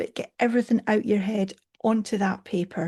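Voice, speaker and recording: A woman speaks at medium pitch and a moderate pace, somewhat breathy, with a dark, mellow tone. Her intonation is fairly even over a quiet background. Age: 60s. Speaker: coach. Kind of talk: casual chat.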